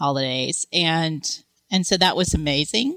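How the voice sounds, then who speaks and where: The speaker has a Texan accent and a bright, sharp tone. Pitch varies in an ordinary way. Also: woman. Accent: Texan American. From Texas. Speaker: career coach. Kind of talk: interview.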